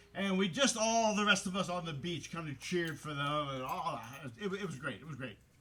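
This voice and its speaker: A high-pitched man with lively intonation at a moderate pace, with noticeable background noise. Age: 60s. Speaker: storyteller. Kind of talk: storytelling.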